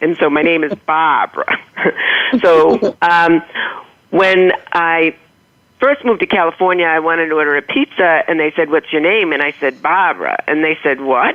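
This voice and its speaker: A woman speaks at a fairly low pitch with a slight Boston accent. Her pitch varies in an ordinary way. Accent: slight Boston accent, non-rhotic. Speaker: motivational humorist, author. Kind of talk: interview storytelling.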